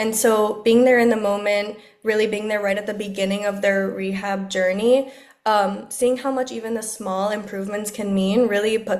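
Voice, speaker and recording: With a South Florida accent, a woman speaks at a medium pitch in a monotone, flat intonation. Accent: South Florida American English. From Miami, Florida. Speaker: speech-language pathologist. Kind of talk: podcast interview answer.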